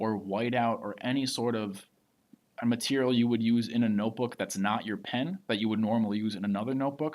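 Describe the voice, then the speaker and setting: A man's normal speaking voice at medium pitch and a fairly quick pace, on a very clean recording with a silent background. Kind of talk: tutorial.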